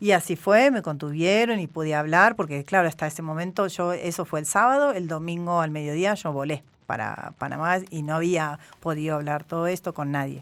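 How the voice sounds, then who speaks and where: A woman talks at a fairly quick pace. Her voice is fairly low, with ordinary pitch variation. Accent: Argentine. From Argentina. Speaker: journalist. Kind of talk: interview. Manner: hesitant, many fillers.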